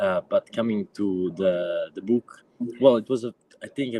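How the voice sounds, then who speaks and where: A man speaks with an Italian accent at a moderate pace. The sound is dry and close, with no echo. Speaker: activist and book editor. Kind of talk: panel presentation. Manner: halting, many fillers.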